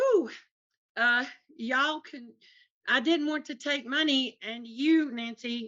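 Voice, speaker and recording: A woman with a strong Tennessee accent speaks with ordinary pitch variation. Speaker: artist's wife. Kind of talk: casual chat. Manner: animated.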